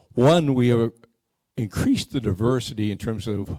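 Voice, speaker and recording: A man's medium-pitched voice with an American accent, dark and mellow in tone, at a moderate pace with ordinary pitch variation. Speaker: scholarship committee member. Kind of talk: community meeting presentation. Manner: halting, with frequent repeats.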